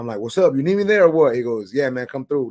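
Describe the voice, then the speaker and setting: In a dry, close sound with no echo, a man speaks at a medium pitch. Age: 30s. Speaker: barber and content creator. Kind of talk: casual chat. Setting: livestream interview. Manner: stutters somewhat; outgoing, easygoing.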